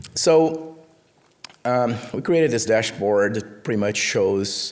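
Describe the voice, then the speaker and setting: A man speaks at a moderate pace with ordinary pitch variation. Music plays in the background, and the room echo is audible. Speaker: conference speaker, network researcher. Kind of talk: conference talk. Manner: hesitant, many fillers.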